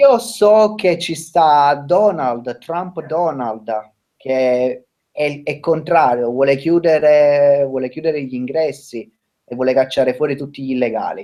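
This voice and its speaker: At a very slow pace, a man with a fairly high pitch and a dark, mellow tone speaks with ordinary pitch variation. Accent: Italian. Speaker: restaurant worker. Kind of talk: casual chat.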